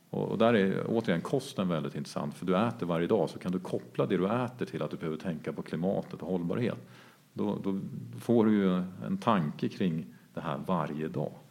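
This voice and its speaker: With a very deep, low pitch and vocal fry, a man talks at a fairly quick pace using lively intonation. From Jämtland, Sweden. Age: 40s. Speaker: entrepreneur. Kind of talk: interview.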